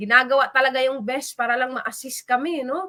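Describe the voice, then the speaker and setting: Raising and projecting her voice, a woman speaks at a moderate pace with a bright, sharp, animated tone and a high pitch. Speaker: live stream host. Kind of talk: livestream shout-outs.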